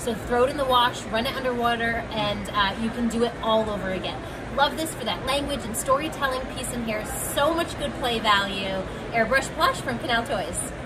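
A woman's voice at a moderate pace with ordinary pitch variation, amid loud background noise. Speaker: toy reviewer. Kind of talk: product demo commentary. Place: hall. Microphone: phone near.

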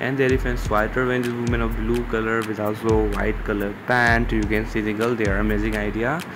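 In a room with audible echo and noticeable background noise, a man talks at a fairly quick pace with very even loudness and hardly any pauses. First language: not English. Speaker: fashion video narrator. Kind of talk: voiceover commentary on outfit pictures.

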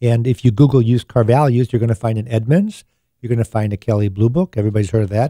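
A man's dark, mellow voice at a very fast pace, with ordinary pitch variation, in a dry sound with no echo and a quiet background. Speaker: radio show host. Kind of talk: radio talk show advice. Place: studio. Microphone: studio mic.

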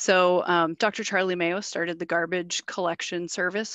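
A woman's fairly low, fairly bright voice with fairly even intonation, in a dry, close sound with no echo

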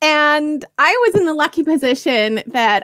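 Against a quiet background, a woman talks at a fairly slow pace with lively intonation. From Canada. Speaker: ESL curriculum creator and former teacher; ESL curriculum creator, former teacher. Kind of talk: interview conversation. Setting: video call from home in the UK. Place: home room. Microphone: headset.

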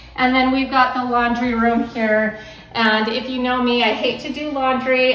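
In a room with audible echo, a woman with a high pitch speaks at a moderate pace in a monotone, flat intonation. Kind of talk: casual vlog chat. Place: home room. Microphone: phone near.

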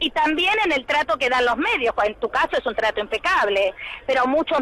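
Over noticeable background noise, a woman speaks in a raised, projected voice with an animated tone and lively intonation. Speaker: teacher. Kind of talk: radio interview.

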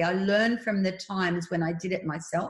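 Speech with an Australian accent moves at a moderate pace with ordinary pitch variation. The background is quiet but there is audible room echo. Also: woman. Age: 60s. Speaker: speaker. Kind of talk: interview about faith and fear. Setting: video call. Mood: warm, earnest, faith-filled. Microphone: video call.

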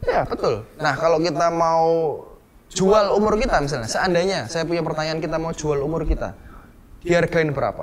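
A man talks with a high pitch and ordinary pitch variation. Light background noise sits behind him. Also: moderate pace. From Surabaya, East Java; East Java. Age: young. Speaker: entrepreneur; presenter. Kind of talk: interview. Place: home room.

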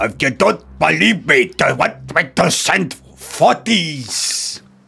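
A man puts on a character voice with a Scottish accent, pitched fairly high and delivered at a very slow pace. Faint music plays in the background.

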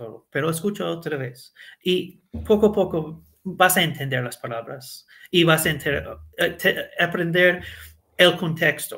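A man's high, bright and sharp voice at a very slow pace, with ordinary pitch variation. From US, Connecticut. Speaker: Spanish learner, former fast-food manager. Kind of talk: interview. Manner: halting, with many fillers.

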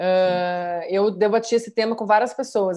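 A dark, mellow tone with fairly even intonation over a quiet background. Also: woman. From Rio Grande do Sul, Brazil. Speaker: actress. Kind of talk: casual interview. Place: home room. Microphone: video call.

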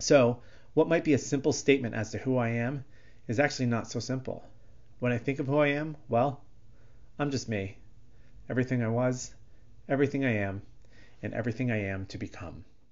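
Long, frequent pauses and ordinary pitch variation, with an American accent. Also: man. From Connecticut, US. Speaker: photographer and designer. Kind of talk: scripted narration.

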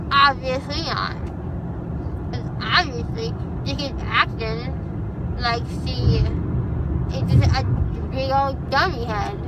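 A woman talks at a very slow pace with long, frequent pauses, her voice dry with no echo against loud background noise. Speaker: vlogger. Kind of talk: casual vlog chat. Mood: animated, complaining, joking. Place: car. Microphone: phone near.

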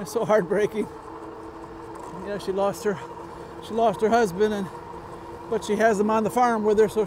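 Background noise is noticeable. The pace is fairly quick. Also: dry sound with no echo. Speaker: e-bike vlogger. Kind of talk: casual vlog chat. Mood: reflective, then lighter. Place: bicycle. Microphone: lapel.

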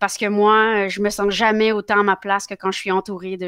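The background stays quiet. A female speaker goes along rather quickly. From Quebec, with early childhood in France. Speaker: politician. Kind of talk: interview. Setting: live show. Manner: halting, many fillers. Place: home room. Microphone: headset.

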